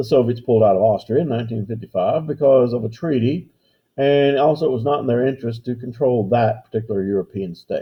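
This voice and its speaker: This man talks at a very fast pace in a medium pitch, with ordinary pitch variation. His voice is somewhat breathy. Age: 60s. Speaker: history teacher. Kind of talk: lecture. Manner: casual, conversational.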